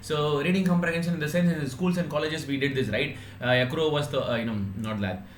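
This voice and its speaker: Amid noticeable background noise and audible room echo, a man with a fairly high pitch talks at a very fast pace with lively intonation. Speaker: online exam-prep teacher. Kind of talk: live online class. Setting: live stream. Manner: halting, many fillers.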